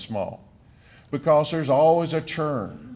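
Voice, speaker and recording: A man talks at a fairly slow pace with an American accent. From southern Wisconsin. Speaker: economic development official. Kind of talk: speech at podium. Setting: stage with audience.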